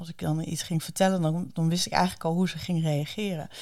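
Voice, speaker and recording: Dark and mellow in tone, a woman's voice rests at a fairly low pitch. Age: 40s. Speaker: speaker, coach and author. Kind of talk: interview. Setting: studio. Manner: enthusiastic.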